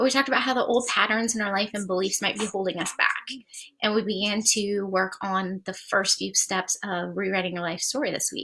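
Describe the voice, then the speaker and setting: Her tone animated, a woman talks at a fairly quick pace in a medium pitch. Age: 40s. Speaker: life coach. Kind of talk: live stream coaching session. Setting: live stream on social media. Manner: fast.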